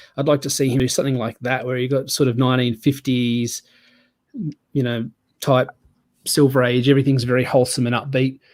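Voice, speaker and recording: With an Australian accent, a man speaks at a fairly quick pace in a flat monotone. He takes long, frequent pauses. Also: medium pitch for a man. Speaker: comic book podcast co-host. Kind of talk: casual chat.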